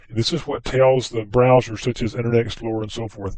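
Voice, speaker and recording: A very fast, medium-pitched male voice with a slight Southern US accent. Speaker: software trainer. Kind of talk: tutorial. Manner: casual, conversational.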